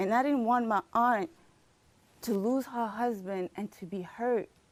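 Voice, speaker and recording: Fairly slow and fairly high-pitched, a woman speaks in a plain, everyday voice with ordinary pitch variation. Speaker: mother. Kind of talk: personal monologue performed on stage. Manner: emotional, earnest.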